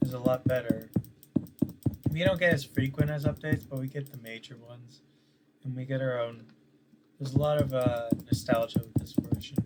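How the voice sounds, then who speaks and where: Soft-spoken talk at a fairly quick pace, with long, frequent pauses and noticeable background noise. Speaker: gaming video creator. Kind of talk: casual gameplay commentary. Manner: soft-spoken, quiet; hesitant, many fillers.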